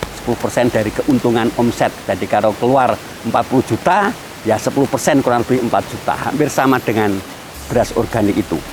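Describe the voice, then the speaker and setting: Over noticeable background noise, a man with a medium-pitched voice talks at a fairly quick pace. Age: 60s. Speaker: farmer. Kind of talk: interview testimony.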